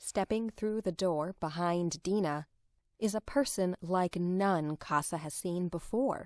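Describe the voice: Plain reading out loud, with pitch that varies in an ordinary way.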